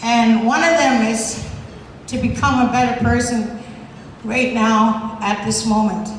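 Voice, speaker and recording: Amid noticeable background noise and audible room echo, a woman speaks at a fairly slow pace with a fairly high pitch. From Alberta, Canada (Cree, Maskwacis). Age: 60s. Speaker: former prisoner, activist. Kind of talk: award acceptance speech. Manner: hesitant, many fillers.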